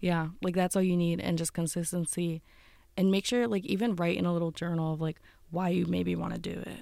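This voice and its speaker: With an American accent, a woman speaks fairly quickly in a fairly low, dark, mellow voice with fairly even intonation, on a very clean recording with a silent background. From northeastern Pennsylvania, Wilkes-Barre. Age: 20s. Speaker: college student and content creator. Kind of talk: interview. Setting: studio.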